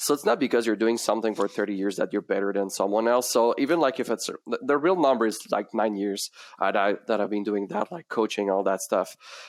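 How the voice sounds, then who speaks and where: A man with a medium pitch and ordinary pitch variation speaks at a very fast pace in a dry, close sound with no echo and a very clean recording with a silent background. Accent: French. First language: French. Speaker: sales coach for realtors. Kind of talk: casual interview chat.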